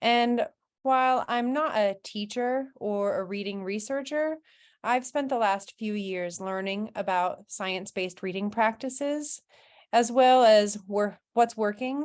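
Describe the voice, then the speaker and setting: The voice is a normal speaking voice with lively intonation at a fairly slow pace. Behind it, the background stays quiet. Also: woman. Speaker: parent advocate and presenter. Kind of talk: presentation.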